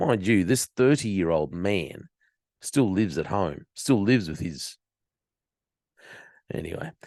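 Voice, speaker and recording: A man's very deep, low voice in an Australian accent, lively in intonation and moderate in pace, dry and close with no echo against a quiet background. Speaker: podcast host. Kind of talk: commentary on news story. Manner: casual, sarcastic.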